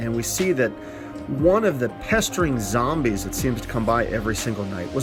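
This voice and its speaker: A man speaks with music playing in the background. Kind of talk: movie review talk.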